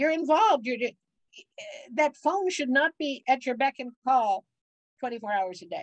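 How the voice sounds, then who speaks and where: A woman with an American accent and a high pitch speaks at a fairly slow pace, with long, frequent pauses and very wide pitch swings. The sound is dry and close, with no echo. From Cleveland, Ohio. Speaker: business consultant. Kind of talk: interview.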